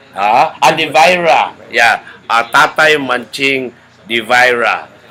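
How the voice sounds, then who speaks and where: Over noticeable background noise, a man speaks very slowly at a medium pitch with ordinary pitch variation. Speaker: interviewer, foundation founder. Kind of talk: interview.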